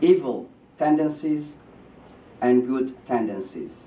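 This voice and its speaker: Audible room echo surrounds this man's voice as he talks. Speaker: imam. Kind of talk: speech. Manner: halting.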